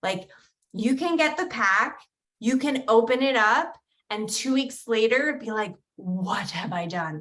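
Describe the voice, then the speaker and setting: A woman in a New Jersey accent, her pitch fairly high. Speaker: direct sales recruiter. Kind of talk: sales pitch. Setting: video call livestream. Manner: animated.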